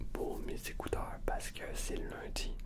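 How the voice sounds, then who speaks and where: Ordinary pitch variation runs through the speech, with noticeable background noise behind it. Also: man. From Canada. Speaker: ASMR creator. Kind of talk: casual talk to camera, personal vent about a rough week.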